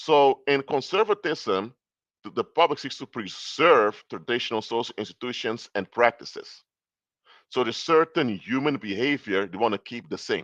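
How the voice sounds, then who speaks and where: Against a quiet background, the speaker uses a non-native accent at a moderate pace with lively intonation. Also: man, medium pitch for a man. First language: not English. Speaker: political commentator and consultant. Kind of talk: live stream lecture. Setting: live stream. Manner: halting, with false starts.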